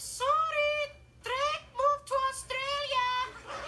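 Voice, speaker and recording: A put-on character voice squeaks at an extremely high pitch, flat and monotone, at a very slow pace over light background noise. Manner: playful, mocking.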